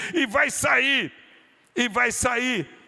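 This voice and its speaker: In a raised, projected voice, a man speaks at a very slow pace with very wide pitch swings. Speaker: pastor. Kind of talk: sermon. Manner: fervent, with bursts of speaking in tongues.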